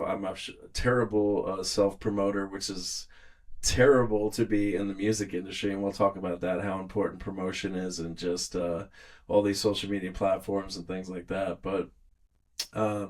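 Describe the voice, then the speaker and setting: The speaker is a man with an American accent and a normal speaking voice. His fairly low pitch stays on fairly even intonation. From New York, Long Island. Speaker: musician and producer. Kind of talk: casual chat.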